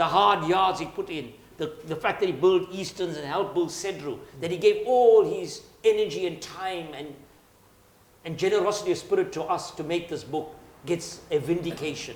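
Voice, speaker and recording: Over noticeable background noise, a man speaks at a moderate pace in a high pitch. His pitch variation is ordinary, while his loudness swings widely. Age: 60s. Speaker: book author. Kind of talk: panel discussion at book launch. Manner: halting, with frequent word repetitions.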